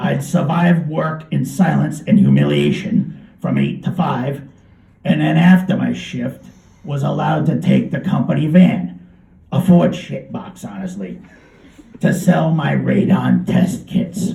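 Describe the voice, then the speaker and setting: Putting on a raspy character voice, a man speaks at a fairly slow pace with a fairly high pitch. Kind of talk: live literary reading. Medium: read story. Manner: deadpan, conversational.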